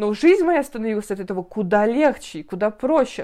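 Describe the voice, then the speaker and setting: Here is an ordinary speaking voice with lively intonation. It moves at a moderate pace. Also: woman. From northern Russia, Siberia. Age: 20s. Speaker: podcast host, journalist. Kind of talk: casual chat.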